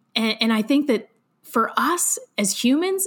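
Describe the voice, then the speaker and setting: A woman speaks with an American accent and lively intonation. Her tone is animated. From western Pennsylvania. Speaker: entrepreneur and author. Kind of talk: interview.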